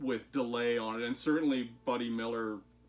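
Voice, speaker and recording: With music in the background, a man speaks fairly slowly at a medium pitch. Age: 50s. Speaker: guitar maker and musician. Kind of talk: casual talk-through tutorial. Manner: hesitant, many fillers.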